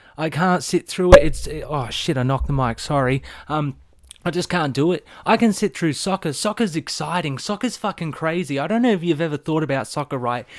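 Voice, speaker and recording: Speaking with an Australian accent, a man talks at a fairly quick pace in a fairly high voice with lively intonation. The recording is very clean, with a silent background and a dry, close sound with no echo. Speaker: vlogger. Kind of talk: casual rant. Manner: animated.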